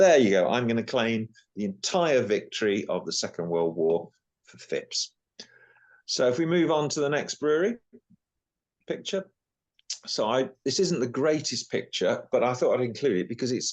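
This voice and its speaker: A man speaks at a moderate pace with vocal fry and long, frequent pauses. His medium-pitched voice moves in very wide pitch swings. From England, Northamptonshire. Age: 60s. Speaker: local historian. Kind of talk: lecture.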